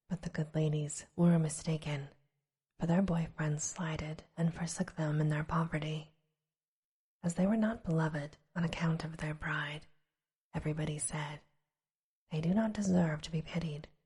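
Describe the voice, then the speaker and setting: Whispering and soft-spoken, the speaker moves at a moderate pace with long, frequent pauses. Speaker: audiobook / bedtime story narrator. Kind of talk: ASMR bedtime story reading. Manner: soft-spoken, whispery.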